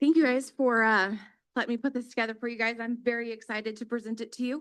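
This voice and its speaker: A woman speaks very fast in a fairly high pitch with a monotone, flat intonation. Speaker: police dispatch supervisor. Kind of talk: public presentation at council meeting. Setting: city council chamber. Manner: loud.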